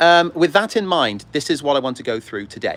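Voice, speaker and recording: A man with a British accent talks at a fairly quick pace with lively intonation. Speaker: model railway YouTuber and heritage railway volunteer. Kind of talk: livestream casual chat. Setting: outdoors on a railway platform. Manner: fast; hesitant with many ums.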